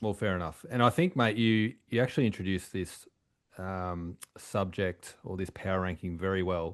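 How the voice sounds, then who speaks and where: Against a quiet background, a man speaks at a moderate pace with a very deep, low pitch and ordinary pitch variation. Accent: Australian. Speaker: podcast co-host. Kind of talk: casual chat.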